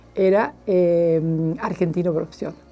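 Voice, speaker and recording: Against music in the background, a woman speaks at a fairly slow pace and medium pitch. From Argentina, Chubut (Esquel, Patagonia). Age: 70s. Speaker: journalist. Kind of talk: interview, life story. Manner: hesitant, many fillers.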